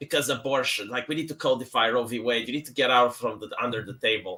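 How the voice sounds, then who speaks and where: With a Romanian accent, a man talks at a fairly quick pace and a medium pitch. His tone is bright and sharp, with ordinary pitch variation. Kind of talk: casual chat.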